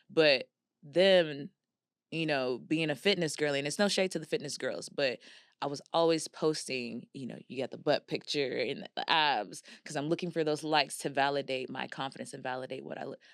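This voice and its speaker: A woman with an American accent and very deep, low pitch speaks at a moderate pace with ordinary pitch variation and big swings in loudness. The recording is very clean and dry, with a silent background and a close sound with no echo. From Texas, Dallas area, Nigerian heritage. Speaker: image consultant and stylist. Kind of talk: casual interview chat. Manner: animated.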